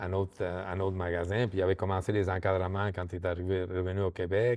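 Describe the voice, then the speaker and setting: A man speaks at a fairly quick pace in a very deep, low voice with monotone, flat intonation. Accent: Argentine. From Argentina. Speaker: microdistillery co-owner. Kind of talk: interview. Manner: halting, many repetitions and fillers.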